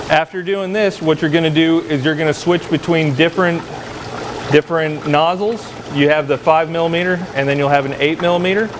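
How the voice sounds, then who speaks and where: With noticeable background noise behind him, a man speaks in a fairly even intonation. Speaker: lab instructor. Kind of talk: tutorial. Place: workshop.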